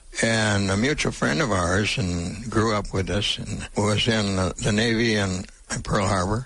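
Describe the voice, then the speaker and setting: Noticeable background noise sits behind a man speaking at a fairly slow pace. His pitch is fairly low, with ordinary variation. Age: 90s. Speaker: World War Two Navy veteran. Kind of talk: interview answer.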